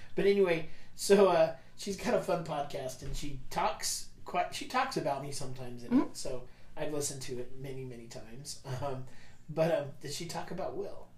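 There is noticeable background noise as a man with a fairly high pitch talks at a moderate pace in a playful tone with lively intonation. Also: big swings in loudness. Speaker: radio show host, host's father. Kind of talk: casual family chat. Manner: joking, playful.

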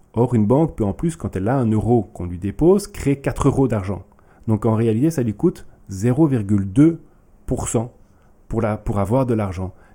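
With a dark, mellow tone and lively intonation, a man at medium pitch speaks at a fairly slow pace. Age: 40s. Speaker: politician. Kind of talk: podcast interview.

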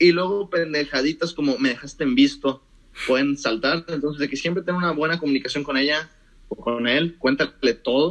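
Ordinary pitch variation marks a man's fairly quick delivery. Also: fairly high pitch for a man. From Mexico, moved between several cities (Mérida, Monterrey, Guadalajara). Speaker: economics student. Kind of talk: casual chat.

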